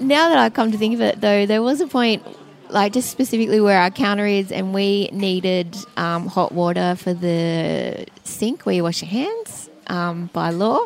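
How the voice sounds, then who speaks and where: Speaking at a moderate pace, a woman uses an Australian accent. Her pitch is medium, with ordinary pitch variation. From Sydney, Australia. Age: 30s. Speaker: cafe owner. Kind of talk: interview. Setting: in a cafe.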